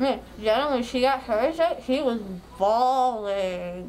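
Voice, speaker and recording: Behind the woman's talking, there is noticeable background noise. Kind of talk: casual groggy chat. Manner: groggy, slurred post-anesthesia speech. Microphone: phone near.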